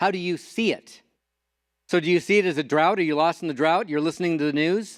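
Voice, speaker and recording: A high-pitched man at a very fast pace, in a very clean recording with a silent background and a dry, close sound with no echo. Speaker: motivational speaker. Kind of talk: conference talk. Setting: stage with audience. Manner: animated.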